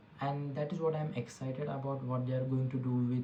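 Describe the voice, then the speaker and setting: The speaker has an Indian accent and talks at a fairly quick pace. Noticeable background noise runs underneath. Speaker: tech podcast host. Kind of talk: casual tech commentary. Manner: halting, with frequent fillers and restarts.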